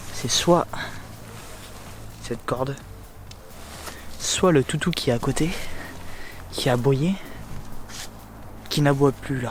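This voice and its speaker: A man talks very slowly, leaving long, frequent pauses, his fairly high voice showing ordinary pitch variation. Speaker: urban explorer vlogger. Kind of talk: casual vlog. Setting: outdoors. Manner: hesitant.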